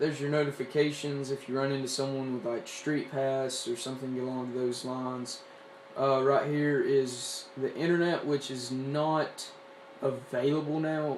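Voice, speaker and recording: With a Southern US accent, the speaker keeps a monotone, flat intonation against noticeable background noise. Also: man, fairly high pitch for a man, moderate pace. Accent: Southern US rural. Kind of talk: casual gadget review to camera. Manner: casual, rambling.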